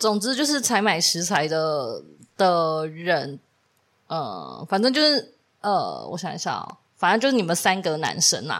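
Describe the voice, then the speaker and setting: This woman speaks at a fairly slow pace and a fairly low pitch, with vocal fry and very wide pitch swings. The recording is very clean, with a silent background. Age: 30s. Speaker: podcast co-host. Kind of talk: casual chat.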